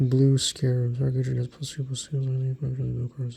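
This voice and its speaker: The man is soft-spoken and somewhat breathy, with a dark, mellow tone. His intonation is monotone and flat. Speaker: card collector YouTuber. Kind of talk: ASMR card review.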